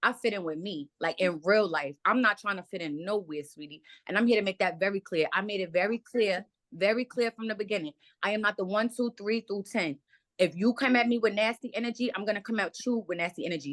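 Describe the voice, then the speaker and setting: Very fast and animated in tone, a woman speaks at a medium pitch with ordinary pitch variation, in a dry, close sound with no echo. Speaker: reality show cast member. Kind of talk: heated argument. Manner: loud.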